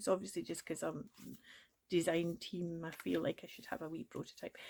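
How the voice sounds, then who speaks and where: In a Scottish accent, a woman speaks at a moderate pace. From Scotland. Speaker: crafting YouTuber. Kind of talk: tutorial. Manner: animated.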